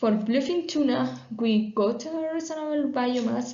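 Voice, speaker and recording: A woman speaks fairly slowly at a fairly high pitch, with ordinary pitch variation. Noticeable background noise and audible room echo surround her voice. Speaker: PhD researcher. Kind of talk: conference talk. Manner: halting, many fillers.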